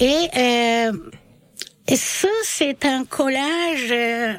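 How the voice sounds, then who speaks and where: A high-pitched woman with lively intonation amid noticeable background noise. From Bosnia. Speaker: French language teacher. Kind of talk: radio interview. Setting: studio.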